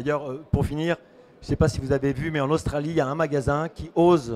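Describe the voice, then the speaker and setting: Intonation stays fairly even as a man talks at a very fast pace. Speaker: marketing consultant and author. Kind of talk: panel discussion. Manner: hesitant, many fillers.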